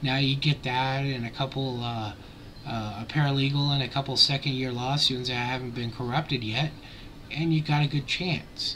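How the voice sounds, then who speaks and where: Noticeable background noise behind a man talking at a medium pitch. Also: fairly even intonation, moderate pace. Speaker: YouTube vlogger. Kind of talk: casual vlog commentary.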